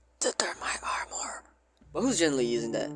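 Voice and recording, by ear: A raspy, whispering put-on character voice rushes along at a very fast pace. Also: man.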